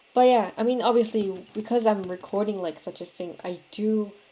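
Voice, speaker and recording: A woman with a non-native accent speaks at a moderate pace in a dark, mellow tone with ordinary pitch variation. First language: not English. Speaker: vlogger. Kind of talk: casual monologue. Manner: halting, many fillers.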